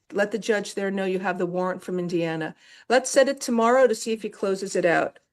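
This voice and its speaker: In an unremarkable speaking voice, a woman talks at a moderate pace with ordinary pitch variation, recorded very cleanly against a silent background. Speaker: judge. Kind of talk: courtroom hearing. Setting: courtroom.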